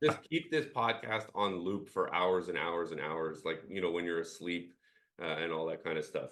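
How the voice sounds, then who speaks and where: A man's very deep, low voice with ordinary pitch variation at a moderate pace. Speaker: employment lawyer and podcast co-host. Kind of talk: casual chat. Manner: halting, many fillers.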